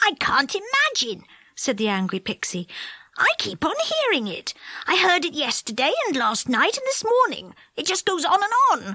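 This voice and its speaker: This is a put-on character voice with extremely high pitch. The pace is moderate. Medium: read story.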